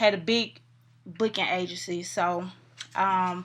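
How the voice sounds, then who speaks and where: Fairly slow speech from a woman at medium pitch, with fairly even intonation. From US South, Atlanta, Georgia. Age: 20s. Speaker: rapper. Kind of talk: interview.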